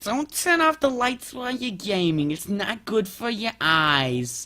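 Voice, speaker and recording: A man's put-on character voice, high-pitched with very wide pitch swings, fairly slow, on a very clean recording with a silent background. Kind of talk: parental, admonishing. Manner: nagging, scolding.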